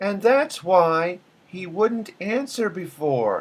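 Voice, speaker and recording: A man in a put-on character voice, high-pitched and very slow. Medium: read story. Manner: measured, formal.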